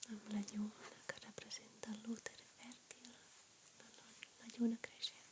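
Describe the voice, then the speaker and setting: A woman whispers at a very slow pace, with long, frequent pauses and big swings in loudness. Her tone is gentle, and there is noticeable background noise. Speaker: ASMR YouTuber and amateur artist. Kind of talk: ASMR soft-spoken talk to camera, showing her drawings. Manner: soft-spoken, gentle.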